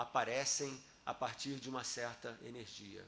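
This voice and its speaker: A man with a fairly high pitch amid audible room echo. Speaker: physicist giving a talk and debate. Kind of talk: academic debate. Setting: auditorium with audience.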